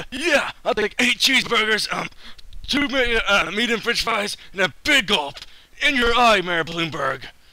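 Raising and projecting his voice, a man performs a cartoonish character voice at a high pitch. He goes at a fairly slow pace with lively intonation. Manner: brash, then sheepishly apologetic.

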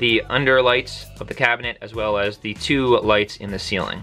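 Faint music plays in the background. The speaker talks at a moderate pace. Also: man. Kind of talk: casual tour narration. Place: bus. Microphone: phone near.

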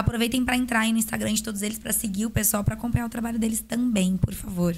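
Somewhat breathy and fairly high in pitch, a woman talks at a very fast pace with monotone, flat intonation. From Brazil. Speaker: podcast host and dentist. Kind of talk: casual chat. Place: studio. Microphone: studio mic.

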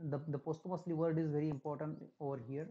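Against a quiet background, a man talks with a dark, mellow tone at a fairly high pitch. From India. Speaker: english lecturer. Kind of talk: lecture. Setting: recorded online class. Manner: halting. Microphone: webcam.

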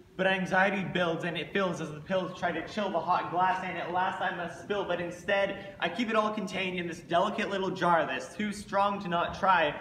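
Delivered at a fairly quick pace with hardly any pauses, the speech has a monotone, flat intonation, with audible room echo and light background noise. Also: man, high pitch for a man. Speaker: slam poet. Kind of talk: slam poetry performance. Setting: live venue. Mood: angsty, intense. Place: stage. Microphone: camera far.

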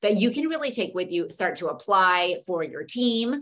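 Over a quiet background, a woman talks at a fairly quick pace with lively intonation. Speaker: presenter. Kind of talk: webinar lecture. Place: home room. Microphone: webcam.

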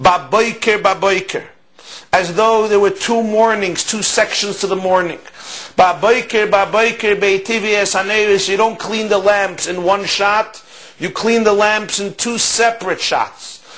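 Speaking fairly slowly, a man with a high pitch keeps a monotone, flat intonation. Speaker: religious teacher. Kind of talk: lecture. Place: office.

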